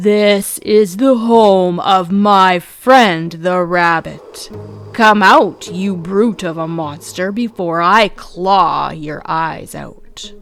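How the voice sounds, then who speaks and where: A put-on character voice growls at a very slow pace. Faint music plays in the background. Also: woman, medium pitch for a woman. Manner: growling, threatening.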